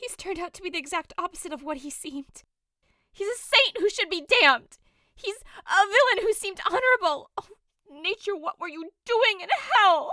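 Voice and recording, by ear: Doing a put-on character voice, a woman speaks at a moderate pace with an extremely high pitch, lively intonation and a bright, sharp tone, recorded dry and close with no echo.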